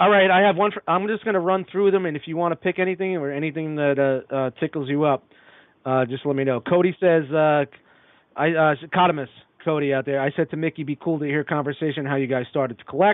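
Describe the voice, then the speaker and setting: Very fast speech in a Brooklyn accent with ordinary pitch variation. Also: man, fairly high pitch for a man. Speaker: toy podcast guest. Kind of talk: casual chat.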